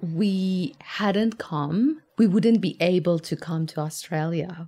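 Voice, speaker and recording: A woman's somewhat breathy, dark and mellow voice, very slow, with lively intonation, on a very clean recording with a silent background. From Iran, Tehran. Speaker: architect, migrant. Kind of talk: personal storytelling.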